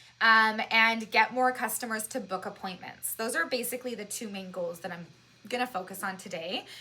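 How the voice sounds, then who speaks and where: A woman talks at a fairly quick pace in a bright, sharp tone, her loudness swinging widely. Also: fairly high pitch for a woman, ordinary pitch variation. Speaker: social media marketing consultant. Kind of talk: webinar presentation. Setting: webinar at a whiteboard. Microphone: new microphone.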